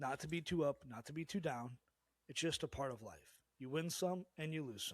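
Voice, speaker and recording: He has an ordinary speaking voice, fairly high for a man, with ordinary pitch variation. The man talks at a fairly quick pace. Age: 30s. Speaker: podcast co-host, expecting father. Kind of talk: casual chat.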